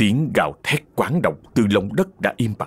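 The speaker reads in a natural reading voice with lively intonation.

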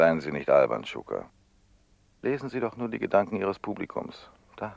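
In a put-on character voice, a man speaks at a moderate pace with a low pitch, big pitch swings, vocal fry, and a slightly mellow tone.

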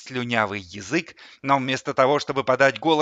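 Plain reading aloud comes through, its intonation fairly even.

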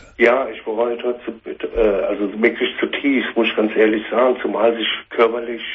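A man's fairly low voice at a moderate pace, with little pitch movement.

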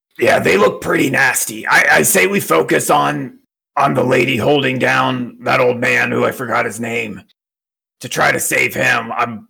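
In a raspy, put-on character voice, the speaker talks at a moderate pace. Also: man. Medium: actual play. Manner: calm, decisive, leading the plan.

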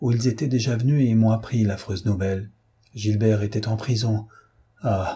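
The reading is done in an unforced voice. Intonation stays fairly even throughout.

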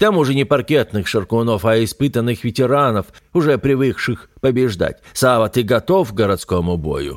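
Just a natural reading voice

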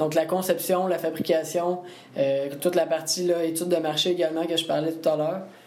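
Audible room echo surrounds a man speaking at a high pitch with monotone, flat intonation. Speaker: engineering student. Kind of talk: interview.

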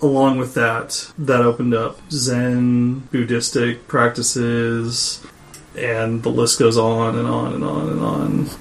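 A man with an American accent speaks at a very slow pace, with noticeable background noise. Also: medium pitch for a man, ordinary pitch variation. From Washington state, US. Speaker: co-host. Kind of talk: casual interview chat.

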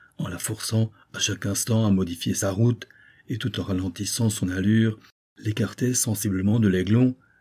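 An unforced reading voice carries over a quiet background.

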